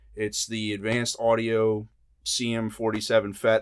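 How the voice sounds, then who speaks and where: A male speaker, very clean recording, silent background. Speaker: singer-songwriter and guitarist. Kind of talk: tutorial. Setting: studio. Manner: casual, filler-heavy.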